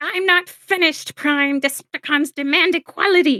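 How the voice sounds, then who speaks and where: At a moderate pace, someone does a high-pitched put-on character voice. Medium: read story.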